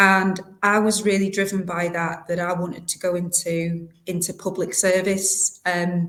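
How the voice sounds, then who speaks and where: In a northern English accent, a woman speaks at medium pitch with monotone, flat intonation. Her pace is fairly slow, with hardly any pauses. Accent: non-local northern English, noticeable. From South Yorkshire, England (North Doncaster). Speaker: local government director. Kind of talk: interview. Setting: podcast.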